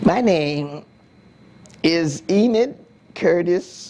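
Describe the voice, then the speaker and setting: With an American accent and a dark, mellow tone, the speaker moves at a very slow pace with long, frequent pauses. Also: woman. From US South. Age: 80s+. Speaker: community elder interviewee. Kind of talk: oral history interview. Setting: on camera interview. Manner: halting.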